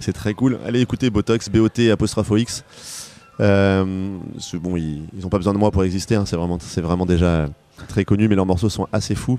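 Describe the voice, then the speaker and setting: This man has a fairly low pitch and ordinary pitch variation. He keeps a moderate pace against noticeable background noise. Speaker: pop singer-songwriter. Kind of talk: interview.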